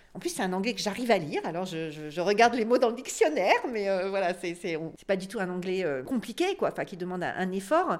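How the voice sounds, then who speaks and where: With hardly any pauses, a woman with a medium pitch talks at a fairly quick pace, her pitch variation ordinary and her loudness swinging widely. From northern France. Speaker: podcast guest discussing books. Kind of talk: casual interview conversation. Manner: halting, many hesitations and repetitions.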